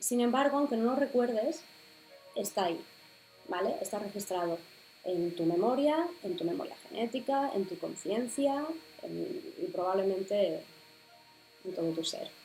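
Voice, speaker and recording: With music in the background, a woman speaks at a fairly slow pace with long, frequent pauses. Her pitch is fairly high and swings very widely. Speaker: spirituality podcaster. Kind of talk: explanatory video podcast talk.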